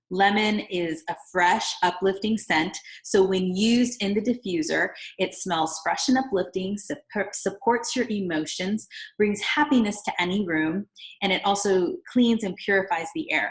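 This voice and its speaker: Somewhat breathy woman's voice, medium in pitch with ordinary variation, at a moderate pace. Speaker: essential oils seller. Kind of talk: product tutorial.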